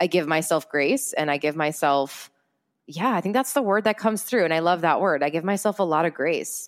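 In an unremarkable speaking voice, a woman talks at a fairly quick pace with a fairly low pitch, lively intonation and very even loudness. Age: 20s. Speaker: entrepreneur and public speaker. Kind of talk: casual interview chat.

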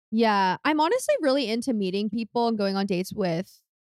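A woman speaks at a very fast pace. The recording is very clean, dry and close, with a silent background and no echo. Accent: Californian. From California. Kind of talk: casual chat.

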